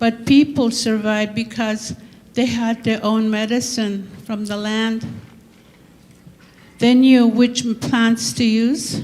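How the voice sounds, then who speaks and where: A woman speaks very slowly in a fairly high, flat monotone, with audible echo in the room. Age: 70s. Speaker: elder panelist. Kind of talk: reading prepared remarks. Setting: conference panel.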